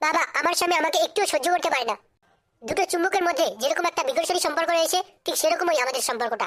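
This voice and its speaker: A man uses a cartoonish character voice at an extremely high pitch, speaking at a very fast pace. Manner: loud, coarse.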